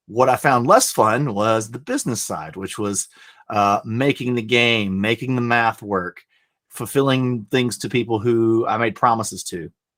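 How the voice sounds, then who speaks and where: In a Southern US accent, a man speaks at a fairly slow pace. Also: medium pitch for a man, ordinary pitch variation. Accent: Southern twang. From US South, Alabama. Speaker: board game designer and publisher. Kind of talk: talk to students. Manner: casual, many filler words.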